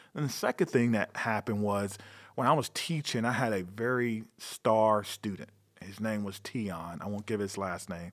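Recorded very cleanly against a silent background, a man with an American accent has an unremarkable speaking voice, a fairly low pitch, ordinary pitch variation and a moderate pace. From North Carolina. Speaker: police chief. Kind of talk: interview.

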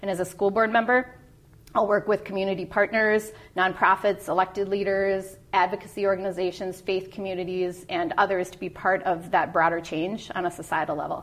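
The speech comes at a fairly quick pace in a monotone, flat intonation, with big swings in loudness. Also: woman, medium pitch for a woman. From US Midwest, Minneapolis. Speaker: school board candidate. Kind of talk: candidate interview.

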